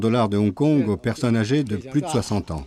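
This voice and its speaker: A man at a medium pitch, fairly quick pace and ordinary pitch variation, with noticeable background noise. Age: 70s. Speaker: elderly villager. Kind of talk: interview voice-over.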